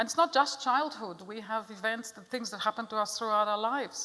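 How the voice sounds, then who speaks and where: The voice carries an Israeli accent and a bright, sharp tone. It moves at a fairly quick pace. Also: woman. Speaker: psychotherapist. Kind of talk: lecture.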